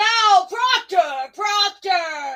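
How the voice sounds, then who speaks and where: A woman puts on a character voice at an extremely high pitch. Her intonation is lively. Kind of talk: period stage drama. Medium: audio drama. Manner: measured, cautious.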